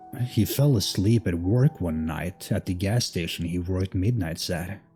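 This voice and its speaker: Music plays in the background while a man speaks at a moderate pace. His fairly low voice has ordinary pitch variation. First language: not English. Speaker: horror story narrator. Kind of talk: scary story narration.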